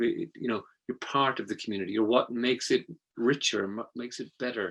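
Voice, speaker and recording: Speaking with an Irish accent, a man keeps a fairly quick pace. His medium-pitched voice has fairly even intonation. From Ireland. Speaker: former journalist. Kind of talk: panel discussion.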